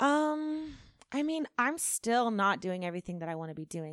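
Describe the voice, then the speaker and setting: A woman with a Californian accent uses lively intonation. The recording is very clean with a silent background, a dry, close sound with no echo. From California, Central Valley. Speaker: singer-songwriter. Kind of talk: casual chat.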